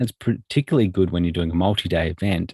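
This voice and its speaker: A man's very deep, low voice with an Australian accent, on a very clean recording with a silent background. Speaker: software trainer. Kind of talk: tutorial. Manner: halting, many fillers.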